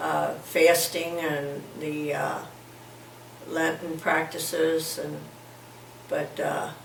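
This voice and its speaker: A woman speaks at a very slow pace with long, frequent pauses. Audible room echo and noticeable background noise run through the recording. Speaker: grandmother interviewed for school project. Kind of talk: interview answers. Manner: halting, many fillers.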